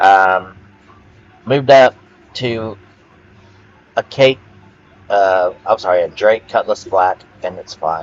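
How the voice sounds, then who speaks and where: A loud man's voice, fairly low in pitch with ordinary pitch variation, at a very slow pace over background music. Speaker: gaming video creator. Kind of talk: rant monologue. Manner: halting, many fillers.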